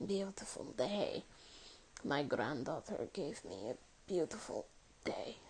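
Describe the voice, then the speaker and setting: A breathy, put-on character voice at a fairly slow pace, with long, frequent pauses and clear background noise. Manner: weak, grateful.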